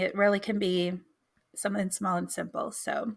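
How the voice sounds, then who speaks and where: Speaking in an American accent, a woman has a bright, sharp tone. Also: very clean recording, silent background. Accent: Texan accent, shows on certain words. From Texas. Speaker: podcast co-host. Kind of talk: casual chat.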